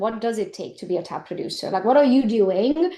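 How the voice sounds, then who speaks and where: With a non-native accent, a woman talks at a very fast pace and ordinary pitch variation. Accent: foreign. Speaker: real estate agent and business coach. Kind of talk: interview conversation. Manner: animated.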